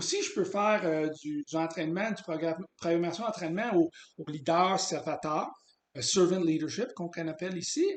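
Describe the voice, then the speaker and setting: A man speaks in a high pitch. His pace is moderate and his pitch variation ordinary. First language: English (speaking French). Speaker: business consultant. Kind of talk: sales pitch. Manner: halting, many hesitations.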